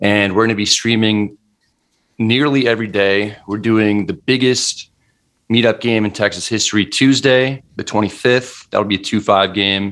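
A man with an ordinary speaking voice and a fairly low pitch talks at a moderate pace with fairly even intonation on a very clean recording with a silent background. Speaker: poker vlogger and club owner. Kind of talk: casual interview chat.

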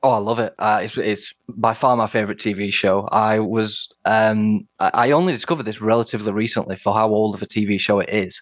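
With a Yorkshire accent, a man talks at a fairly low pitch with fairly even intonation and hardly any pauses. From Sheffield, northern England. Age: 20s. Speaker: podcast quiz contestant. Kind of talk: casual chat.

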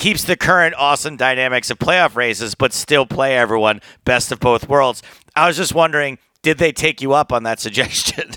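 A man speaks at a fairly quick pace in an animated, bright, sharp tone, his medium pitch varying in an ordinary way. The recording is very clean and dry, close with no echo and a silent background. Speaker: poker podcast co-host and comedian. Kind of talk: casual chat. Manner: animated, jokey.

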